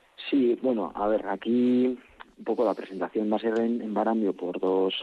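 A man has an ordinary speaking voice of medium pitch, with fairly even intonation at a moderate pace. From Álava, Basque Country. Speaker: bertsolari association representative. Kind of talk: radio interview.

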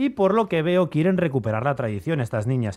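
This man's fairly high voice moves in very wide pitch swings. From Bizkaia mining area, Basque Country, Spain. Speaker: radio travel segment presenter. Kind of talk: radio segment chat.

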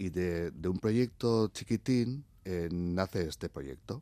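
A dark, mellow tone moves at a very slow pace with ordinary pitch variation. The recording is very clean, with a silent background. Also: man. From Basque Country (Oñati, Zarautz). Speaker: cultural manager and stage artist. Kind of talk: radio interview.

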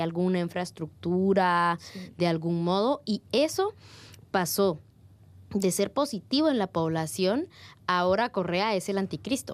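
On a very clean recording with a silent background, a woman with an ordinary speaking voice talks at a medium pitch and a fairly slow pace. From Guatemala. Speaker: activist. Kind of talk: panel discussion.

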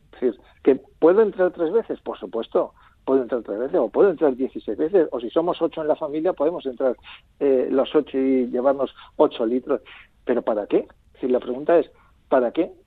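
Speaking at a fairly quick pace, the man has a fairly high pitch and lively intonation. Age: 50s. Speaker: consumer association president. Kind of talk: interview. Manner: hesitant, many fillers.

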